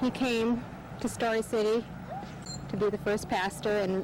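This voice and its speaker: Over noticeable background noise, a woman with a Midwestern US accent speaks at a fairly high pitch in a monotone, flat intonation. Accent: US Midwest. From Iowa. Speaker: church member. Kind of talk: interview.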